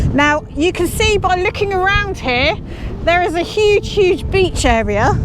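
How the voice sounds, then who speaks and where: Shouting loudly at a fairly slow pace with lively intonation, the speaker comes through noticeable background noise. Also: woman. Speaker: travel vlogger. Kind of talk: on-location presenting. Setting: outdoors by a lighthouse on the beach. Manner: loud, shouting.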